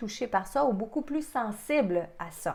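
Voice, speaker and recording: A normal speaking voice from a woman, fairly high in pitch, with lively intonation. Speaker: psychic medium. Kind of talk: webinar presentation. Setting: online webinar.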